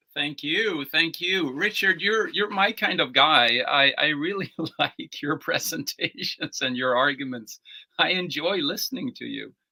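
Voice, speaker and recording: Speaking at a fairly slow pace, a man with an American accent uses a high pitch and lively intonation. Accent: American-sounding English. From Sweden. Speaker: political party leader, philosopher and theologian. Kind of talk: interview.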